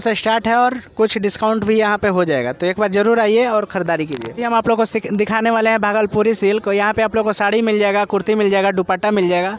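A man talks fast with few pauses in a high voice with fairly even intonation, with faint background noise.

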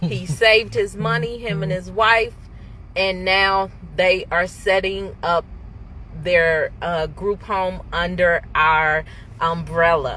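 Over light background noise, a woman speaks at a very slow pace in a dry sound with no echo. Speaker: business owner vlogger. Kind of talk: casual vlog chat. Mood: proud, emotional, joking. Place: car. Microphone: phone near.

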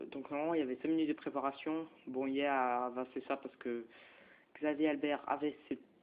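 A man talks at a moderate pace with a fairly high pitch. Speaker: gaming youtuber. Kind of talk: gameplay commentary. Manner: halting; animated.

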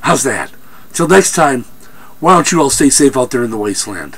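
Noticeable background noise accompanies a man speaking at medium pitch with lively intonation. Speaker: film reviewer. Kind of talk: movie review rant. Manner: animated; halting.

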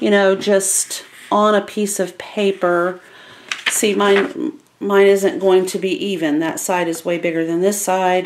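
Noticeable background noise fills the recording. Through it, a woman talks at a fairly slow pace. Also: ordinary pitch variation. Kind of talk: tutorial. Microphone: camera far.

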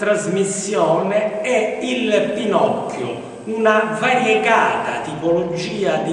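Through strong room echo, a man with a high pitch speaks at a very slow pace with ordinary pitch variation. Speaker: TV show host. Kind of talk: presenter introduction. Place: workshop.

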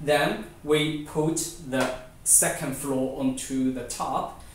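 Slowly, very slowly, a man speaks with fairly even intonation. Light background noise and audible room echo surround him. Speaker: presenter. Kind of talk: product demonstration tutorial. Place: home room. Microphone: camera far.

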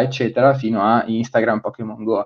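The pace is fairly quick. A man is doing the talking. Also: quiet background. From Milan, northern Italy. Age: 20s. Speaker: fintech and innovation consultant; guest. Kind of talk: webinar presentation. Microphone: webcam.

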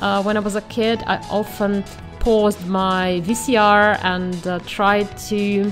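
Someone with a non-native accent speaks over music in the background. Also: woman. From Russia. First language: not English. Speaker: self-taught artist. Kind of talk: unscripted voiceover for a painting video.

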